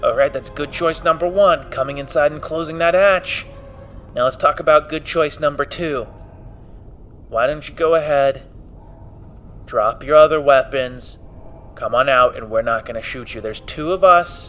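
A man's put-on, gruff character voice, shouting at a moderate pace with long, frequent pauses over clear background noise. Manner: yelling, gruff.

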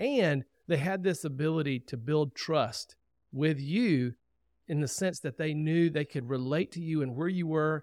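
This is a normal speaking voice from a man with a fairly high pitch. He goes at a fairly slow pace with ordinary pitch variation, in a dry, close sound with no echo. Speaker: podcast host. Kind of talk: interview conversation. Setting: studio.

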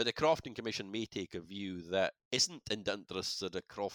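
With a Shetland accent, a man speaks at a fairly low pitch and moderate pace in a dry, close sound with no echo on a very clean recording with a silent background. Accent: Shetland Scottish. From Shetland, Scalloway. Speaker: crofting law solicitor. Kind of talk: interview, explanatory.

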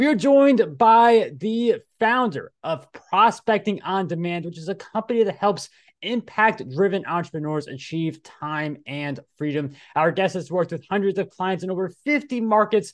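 A man's high, energetic voice at a moderate pace, with lively intonation against a quiet background. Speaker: podcast host. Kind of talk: interview.

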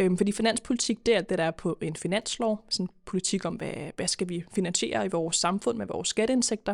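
A woman with vocal fry speaks at a medium pitch and a fairly quick pace, with lively intonation and hardly any pauses, on a very clean recording with a silent background and a dry, close sound with no echo. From Denmark, Køge (Zealand). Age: 20s. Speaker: politician. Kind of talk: podcast interview. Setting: studio.

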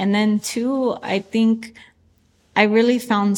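A woman with a Spanish accent talks with fairly even intonation. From US, San Francisco (born in Chihuahua, Mexico). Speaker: artist. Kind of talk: interview testimony.

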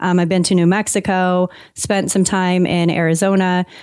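A woman with a Californian accent on a very clean recording with a silent background. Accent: Californian American. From US West Coast, San Diego, California. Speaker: content marketer and author. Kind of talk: interview.

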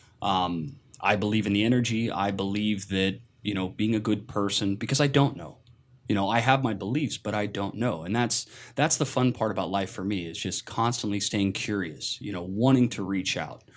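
On a very clean recording with a silent background, a man with an American accent speaks at a moderate pace in a normal speaking voice, fairly low in pitch with ordinary pitch variation. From US Pacific Northwest, Seattle. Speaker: podcast guest. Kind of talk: casual chat.

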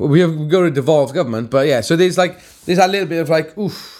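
A man with a Welsh accent speaks at a fast pace in a fairly high voice, his slightly mellow tone moving with ordinary pitch variation on a very clean recording with a silent background.

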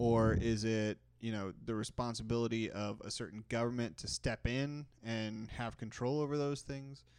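A man with an unremarkable speaking voice talks at a moderate pace and medium pitch, with hardly any pauses and fairly even intonation. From Texas. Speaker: podcast co-host. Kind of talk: casual chat.

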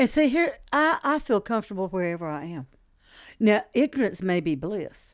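With a Southern US accent, the speaker moves at a moderate pace through very wide pitch swings on a very clean recording with a silent background. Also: woman, medium pitch for a woman. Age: 60s. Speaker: stand-up comedian. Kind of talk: casual interview conversation.

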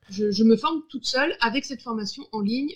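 Fairly high-pitched, a woman speaks at a fairly quick pace with lively intonation. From Brittany, France. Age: 30s. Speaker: creative facilitator and coach. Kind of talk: interview. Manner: halting, many repetitions and fillers.

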